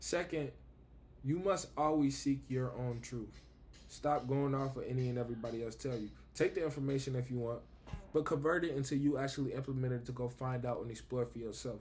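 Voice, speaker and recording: A man with an American accent speaks at a medium pitch and a fairly quick pace. His intonation is fairly even, and there is noticeable background noise. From Buffalo, New York, US. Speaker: vlogger. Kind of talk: casual spiritual monologue.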